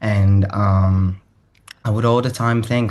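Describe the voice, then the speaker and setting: A man's fairly low, monotone, flat voice against a quiet background. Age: 20s. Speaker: singer-songwriter. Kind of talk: interview. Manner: hesitant, many fillers.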